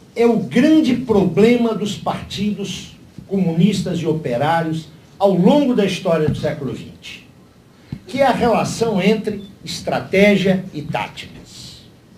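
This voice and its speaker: A man's high-pitched voice with lively intonation at a fairly slow pace, in audible room echo. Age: 60s. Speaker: panelist at political party seminar. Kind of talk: seminar talk. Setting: panel with live audience. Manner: formal.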